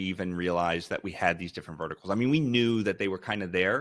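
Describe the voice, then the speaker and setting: A man with a fairly low pitch and lively intonation uses a normal speaking voice. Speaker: company founder presenting. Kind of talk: webinar presentation.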